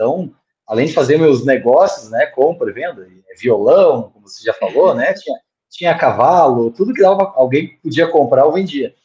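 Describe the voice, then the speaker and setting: The voice moves at a moderate pace. Its loudness swings widely. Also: man. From Rio Grande do Sul, Brazil (Montenegro). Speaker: sales manager. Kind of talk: casual chat.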